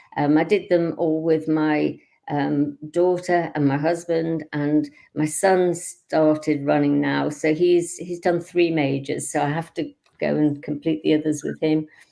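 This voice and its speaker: A woman's very deep, low voice with a dark, mellow tone, a British accent, a fairly slow pace and monotone, flat intonation. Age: 70s. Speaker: amateur marathon runner. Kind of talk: interview. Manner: halting, many fillers.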